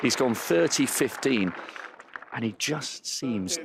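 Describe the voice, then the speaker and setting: The voice is quiet, with a British accent and ordinary pitch variation. It moves at a moderate pace over noticeable background noise. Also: man. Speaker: courtside tennis reporter. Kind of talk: live commentary. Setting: courtside in a stadium crowd. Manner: speaking quietly.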